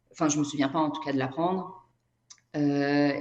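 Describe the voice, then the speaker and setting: A woman speaks with a very deep, low pitch in a monotone, flat intonation. Audible room echo surrounds her voice. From Brazil. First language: Portuguese (speaking French). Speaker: energy therapist and writer. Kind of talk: interview conversation.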